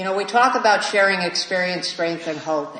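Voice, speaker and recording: Against noticeable background noise and audible room echo, a woman with an American accent speaks with ordinary pitch variation. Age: 60s. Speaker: AA speaker. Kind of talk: recovery talk Q&A. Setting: meeting with audience.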